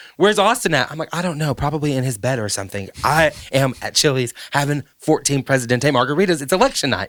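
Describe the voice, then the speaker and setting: Someone with a Southern accent speaks at a very fast pace, with lively intonation and an animated tone. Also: man, fairly high pitch for a man. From US South. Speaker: podcast host. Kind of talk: casual chat.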